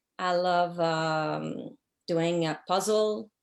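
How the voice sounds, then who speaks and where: Recorded very cleanly against a silent background, a woman speaks with a French accent. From Quebec City, Canada. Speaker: social worker and business owner. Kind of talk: interview. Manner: halting, many fillers.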